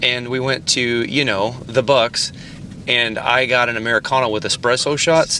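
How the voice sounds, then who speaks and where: A man's moderately paced speech is heard with noticeable background noise behind it. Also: medium pitch for a man. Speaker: podcast host and musician. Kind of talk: casual chat. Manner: animated.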